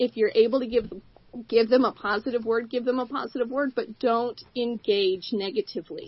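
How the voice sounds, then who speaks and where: A woman's fairly high voice, an unremarkable speaking voice, its pitch varying in an ordinary way. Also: moderate pace. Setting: radio studio.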